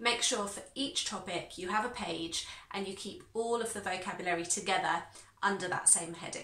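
A woman speaks at a moderate pace with a British accent. Room echo is audible. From United Kingdom. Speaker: English teacher. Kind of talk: online language lesson to camera. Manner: clear, instructive. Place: home room.

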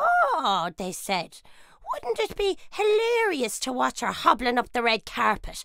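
A cartoonish character voice from a woman, high-pitched, fairly slow, with very wide pitch swings. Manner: mocking, scornful.

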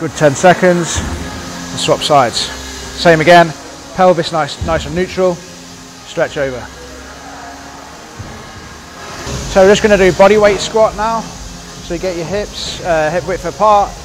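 Over clear background music, a man with a high-pitched voice talks fairly slowly with ordinary pitch variation and long, frequent pauses. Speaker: fitness coach. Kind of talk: tutorial. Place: gym. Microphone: lapel.

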